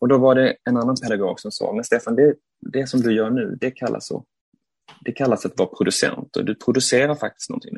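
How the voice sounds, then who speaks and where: Fairly quick male speech, dry and close-sounding with no echo. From Sweden, Malmö. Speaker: theatre director. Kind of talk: interview. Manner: hesitant, repeats words.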